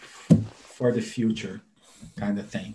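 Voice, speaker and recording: This man speaks with a Brazilian accent and a dark, mellow tone. His voice is somewhat breathy, and his pace is fairly slow. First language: Portuguese. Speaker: animator and software tool developer. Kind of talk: interview.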